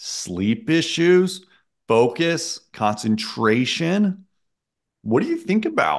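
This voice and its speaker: The background is quiet as a man speaks at a very slow pace. His pitch swings very widely. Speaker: guest. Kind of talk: interview answer. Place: office. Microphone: studio mic.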